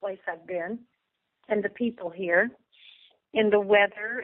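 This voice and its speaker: Speaking with an American accent, a woman has an ordinary speaking voice, fairly high in pitch with fairly even intonation. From Indiana, lives in Texas. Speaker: country singer, recording artist. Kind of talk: interview answer. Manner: relaxed, friendly.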